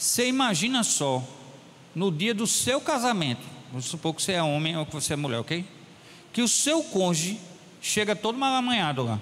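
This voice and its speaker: This man's pitch swings very widely as he speaks at a moderate pace, leaving long, frequent pauses. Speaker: pastor. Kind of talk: sermon. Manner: animated.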